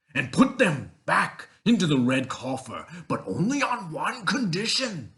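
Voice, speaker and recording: In a put-on character voice, a man with a high pitch talks at a fairly slow pace in a stern tone, his pitch swinging very widely. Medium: read story. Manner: imperious, stern.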